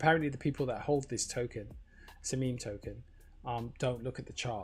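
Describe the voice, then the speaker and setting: Music plays in the background as a man speaks at a fairly quick pace in a medium pitch. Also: fairly even intonation. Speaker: crypto livestreamer. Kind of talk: casual livestream commentary. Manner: fast; hesitant, filler-heavy.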